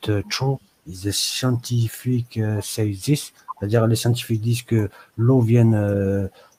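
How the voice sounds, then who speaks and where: Monotone, flat intonation runs through a man's fairly low-pitched speech. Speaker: live stream host. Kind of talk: live stream group discussion.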